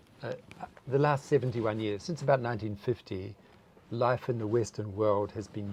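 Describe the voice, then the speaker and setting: Somewhat breathy, a man speaks at a fairly low pitch in a dark, mellow tone with ordinary pitch variation. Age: 70s. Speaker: taiji and spiritual teacher. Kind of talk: interview. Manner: halting.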